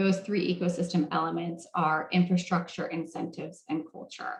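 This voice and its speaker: A woman with a fairly low, somewhat breathy voice talks at a moderate pace. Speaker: health policy moderator. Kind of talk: roundtable presentation.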